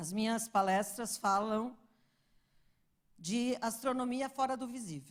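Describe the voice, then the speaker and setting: A fairly high-pitched woman's voice, very slow, with ordinary pitch variation. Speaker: astrophysicist giving a talk. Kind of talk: lecture.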